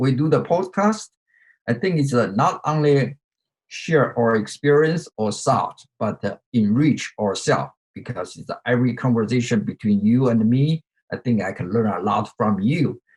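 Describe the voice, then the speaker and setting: With a Chinese accent, a man speaks at a moderate pace with lively intonation and a somewhat breathy voice, in a dry, close sound with no echo. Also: medium pitch for a man. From China. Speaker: podcast co-host. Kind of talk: casual chat. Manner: halting.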